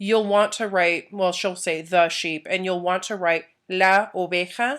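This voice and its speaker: A woman talks very slowly with fairly even intonation. The recording is very clean, with a silent background. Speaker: Spanish teacher. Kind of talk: recorded lesson for students. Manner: casual, many filler ums.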